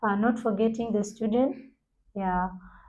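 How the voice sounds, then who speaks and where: A woman's somewhat breathy voice, dark and mellow, with monotone, flat intonation at a fairly slow pace. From South Sudan. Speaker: university student, debate club member. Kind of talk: casual group discussion.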